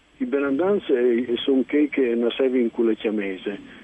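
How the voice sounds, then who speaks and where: A man's fairly evenly intoned voice over noticeable background noise. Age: 60s. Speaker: novelist. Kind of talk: radio interview.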